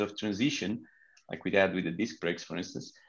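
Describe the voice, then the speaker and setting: A man is speaking. He has a Portuguese accent. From Portugal. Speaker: pro cycling team sports manager. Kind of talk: interview.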